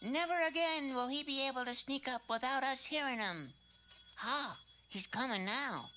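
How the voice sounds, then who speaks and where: Someone puts on a cartoonish character voice that sounds female. The pace is moderate, with clear background noise. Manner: meek, comically resigned.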